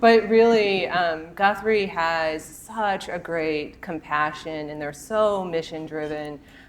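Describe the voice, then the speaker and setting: A woman speaks with an American accent at a very deep, low pitch. Her pitch varies in an ordinary way. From US Midwest, Northeast Ohio. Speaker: healthcare technology executive. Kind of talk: live podcast interview. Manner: hesitant, many fillers.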